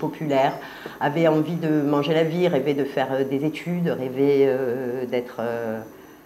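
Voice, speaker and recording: With audible room echo and noticeable background noise, a woman speaks very slowly at a very deep, low pitch with fairly even intonation. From Marseille, southern France. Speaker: artist. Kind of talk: interview. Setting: filmed interview at exhibition. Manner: halting, many hesitations.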